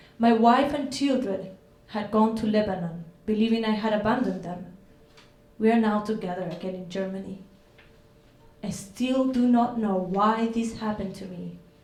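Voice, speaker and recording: Amid audible room echo, the speaker uses fairly even intonation, with big swings in loudness and long, frequent pauses. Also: woman, fairly high pitch for a woman, moderate pace. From Chile. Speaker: artist. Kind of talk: reading aloud.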